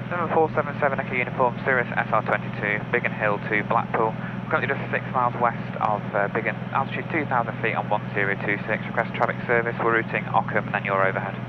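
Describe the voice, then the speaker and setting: A man at a very fast pace with ordinary pitch variation, dry sound with no echo, and loud background noise. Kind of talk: radio call to air traffic control. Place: plane. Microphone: headset.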